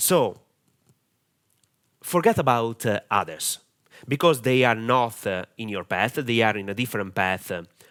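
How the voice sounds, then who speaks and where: In a very clean recording with a silent background, a man with an Italian accent and medium pitch speaks fairly slowly with lively intonation and long, frequent pauses. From Italy. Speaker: online marketing coach. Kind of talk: tutorial. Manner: halting, many fillers.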